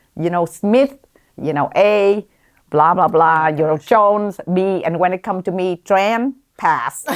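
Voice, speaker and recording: A woman speaks with a Vietnamese accent at a medium pitch. Her pitch varies in an ordinary way, and the sound is dry and close with no echo. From Vietnam, then Columbus, Ohio from age 14. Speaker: physician, OB-GYN. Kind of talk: interview. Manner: hesitant, many fillers.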